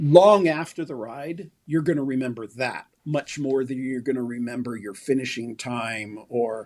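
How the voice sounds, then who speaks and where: With a General American accent, a man uses a normal speaking voice at a fairly slow pace, with hardly any pauses and ordinary pitch variation. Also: medium pitch for a man. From US West Coast (San Francisco Bay Area). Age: 60s. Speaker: endurance cyclist. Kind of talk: interview.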